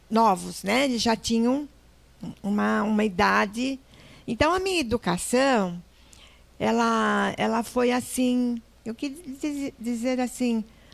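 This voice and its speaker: A very slow pace with long, frequent pauses and ordinary pitch variation. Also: woman, fairly high pitch for a woman. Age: 80s+. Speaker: entrepreneur. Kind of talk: interview. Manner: halting.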